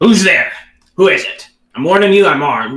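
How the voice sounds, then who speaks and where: In a put-on character voice, a man speaks gruffly at a moderate pace with a high pitch, and an echo is audible. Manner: suspicious, warning.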